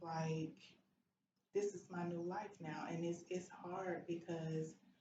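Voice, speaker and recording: A woman speaks at a fairly slow pace, her pitch fairly low. The room echo is audible. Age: 40s. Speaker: stroke survivor and advocate. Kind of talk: testimony.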